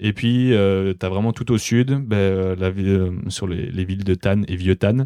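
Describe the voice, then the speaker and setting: A man speaks at a fairly slow pace in a plain, everyday voice, fairly low in pitch with fairly even intonation. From France, Alsace. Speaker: podcaster and winemaker's son. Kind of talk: casual chat.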